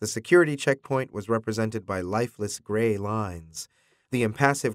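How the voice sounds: The pitch moves in an ordinary way. It is a natural reading voice.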